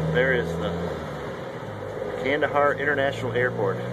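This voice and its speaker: A man's moderate-paced speech competes with loud background noise. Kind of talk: sarcastic running commentary. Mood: dry sarcastic humor. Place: bus.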